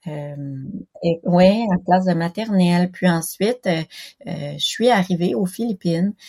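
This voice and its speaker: Very slow and somewhat breathy, a woman with a fairly low pitch speaks in a dark, mellow tone with ordinary pitch variation, the sound dry and close with no echo. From Quebec. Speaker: special education teacher. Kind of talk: interview testimony. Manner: halting, many hesitations.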